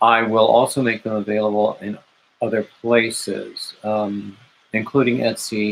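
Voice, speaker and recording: Monotone, flat intonation at a fairly slow pace. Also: man, medium pitch for a man. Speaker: crochet live streamer. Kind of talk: casual live stream chat.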